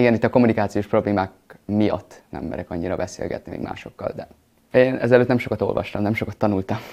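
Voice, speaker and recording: Talking very fast, this man has a fairly low pitch, a dark, mellow tone, ordinary pitch variation and big swings in loudness. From Vojvodina, Serbia (Hungarian village). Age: young. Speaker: acting student. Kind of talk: interview.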